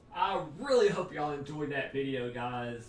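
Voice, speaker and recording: In a room with audible echo and faint music behind him, a man speaks at a moderate pace. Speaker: youtuber. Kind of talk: casual vlog chat.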